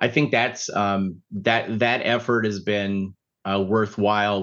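Against a quiet background, a man talks in a plain, everyday voice at a fairly low pitch. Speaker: sports official. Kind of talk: casual chat.

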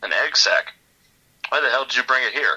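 A man's put-on character voice at a fairly quick pace. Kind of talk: hard-boiled 1930s pulp. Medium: read story. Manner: gruff, curt.

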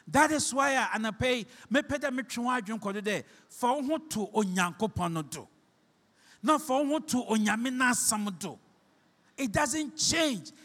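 Extremely high in pitch, a man with a Ghanaian accent speaks with lively intonation at a fairly slow pace. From Ghana, Shama (Western Region). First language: Fante (Akan). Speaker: pastor. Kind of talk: sermon.

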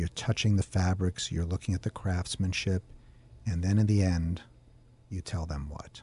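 With a very deep, low pitch and a dark, mellow, somewhat breathy tone, a man speaks at a moderate pace with fairly even intonation and long, frequent pauses, in a dry, close sound with no echo against a quiet background. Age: 50s. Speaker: radio host. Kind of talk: interview.

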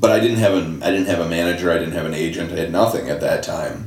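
With an American accent, the speaker comes through audible room echo and noticeable background noise. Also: man. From Michigan, Detroit area. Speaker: screenwriter. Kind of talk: interview conversation.

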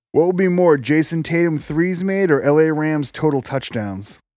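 A man uses a normal speaking voice with a fairly high pitch at a fairly slow pace. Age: 30s. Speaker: podcast co-host. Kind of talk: casual chat.

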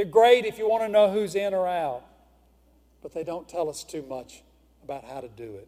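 Speaking at a moderate pace with a Mississippi accent, a man with a high, dark and mellow voice leaves long, frequent pauses and swings widely in loudness. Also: lively intonation. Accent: Southern US (Mississippi). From US South, northeast Mississippi. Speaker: pastor. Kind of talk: sermon. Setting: church.

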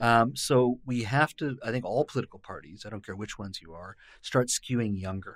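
An unremarkable speaking voice, a man with a Canadian accent, medium pitch, ordinary pitch variation and a fairly quick pace, on a very clean recording with a silent background. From British Columbia, Canada (born in India). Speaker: provincial politician, former journalist. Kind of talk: casual interview. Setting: studio.

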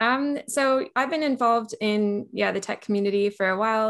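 A woman with an American accent speaks fairly quickly in an unremarkable speaking voice, with ordinary pitch variation over a quiet background. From California, US. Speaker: software engineer. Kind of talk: interview.

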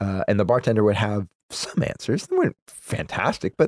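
A speaker talks at a fairly quick pace with vocal fry, in a dry, close sound with no echo. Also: man. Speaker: beer podcast co-host. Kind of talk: casual chat. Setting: studio. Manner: trailing off.

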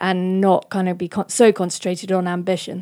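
In a very clean recording with a silent background, a woman with a British accent speaks at a medium pitch. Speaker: event curator and podcast host. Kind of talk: scripted introduction and moderated talk. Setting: stage with audience.

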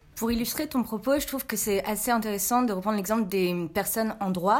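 With an unremarkable speaking voice, a woman talks at a fairly quick pace. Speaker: student. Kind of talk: casual debate.

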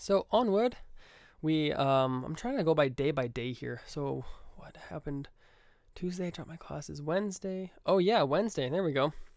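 With an upbeat tone, a man uses lively intonation and a fairly high pitch, his loudness swinging widely, all on a very clean recording with a silent background. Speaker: podcast host and music student. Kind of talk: casual solo podcast monologue. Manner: fast talker, upbeat, filler words.

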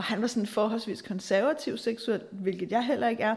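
Her pitch sits fairly high as a woman speaks at a moderate pace. The voice is somewhat breathy, with fairly even intonation. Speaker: podcast host and therapist-style advisor. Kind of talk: solo monologue podcast.

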